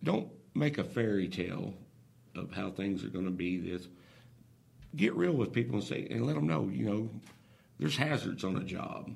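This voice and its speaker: A man with an American accent speaks in a very deep, low voice with vocal fry and very wide pitch swings. He leaves long, frequent pauses. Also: moderate pace. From Oklahoma. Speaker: oil and gas business owner. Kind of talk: casual interview.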